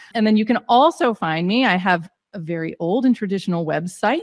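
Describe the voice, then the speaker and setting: In an ordinary speaking voice, a woman talks at a moderate pace with lively intonation, recorded with a dry, close sound and no echo. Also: quiet background. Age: 40s. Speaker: points travel coach, former physician. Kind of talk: casual interview.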